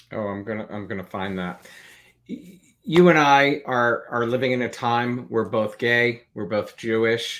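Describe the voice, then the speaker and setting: At a fairly slow pace, a man with an ordinary speaking voice talks at a medium pitch with ordinary pitch variation and big swings in loudness. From New Jersey. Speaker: interview show host. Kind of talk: interview.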